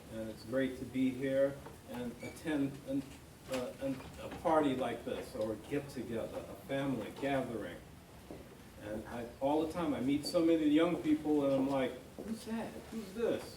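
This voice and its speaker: Amid noticeable background noise and audible room echo, a man with an American accent speaks at a moderate pace with a fairly high pitch and ordinary pitch variation. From New York. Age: 60s. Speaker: family member giving a tribute. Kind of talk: birthday party speech. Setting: family gathering with audience.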